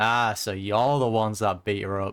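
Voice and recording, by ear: A man with a fairly low pitch and a fairly bright, clear, smooth tone speaks at a moderate pace.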